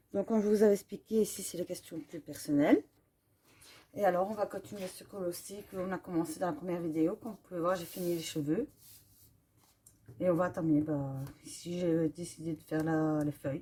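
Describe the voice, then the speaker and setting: With long, frequent pauses, a woman talks at a fairly quick pace in a fairly low, dark, mellow voice with ordinary pitch variation. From Belgium. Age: 30s. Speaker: coloring YouTuber. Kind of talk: casual Q&A while coloring. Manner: hesitant, many fillers.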